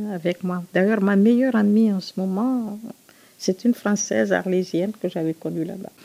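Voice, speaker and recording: Recorded dry and close with no echo, a woman speaks in a medium pitch with a dark, mellow tone. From Guinea, Conakry. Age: 70s. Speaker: retired nurse's aide and activist. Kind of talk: personal testimony interview.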